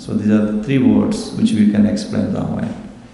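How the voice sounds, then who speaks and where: A man speaks in an Indian accent with noticeable background noise and audible room echo. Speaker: religious teacher. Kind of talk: scripture class.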